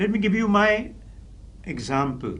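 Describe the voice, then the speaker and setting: Amid audible room echo, a man speaks with vocal fry and very wide pitch swings. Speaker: professor and public speaking trainer. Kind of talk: lecture. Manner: clear, carefully articulated; formal.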